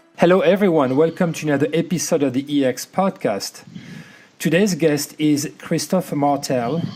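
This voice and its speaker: A fairly high-pitched man with a slight French accent, ordinary pitch variation and noticeable background noise. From France. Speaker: podcast host. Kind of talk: podcast interview.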